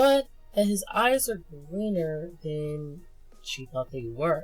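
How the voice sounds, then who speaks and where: A woman's fairly low voice at a fairly slow pace, with very wide pitch swings and music in the background. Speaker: webcomic reviewer. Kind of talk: casual talk to camera. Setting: muffled audio.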